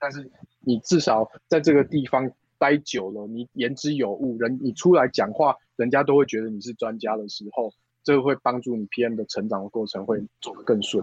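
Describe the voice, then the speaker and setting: A man at medium pitch with ordinary pitch variation and big swings in loudness, in a dry, close sound with no echo. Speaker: e-commerce product director. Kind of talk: interview. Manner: fast.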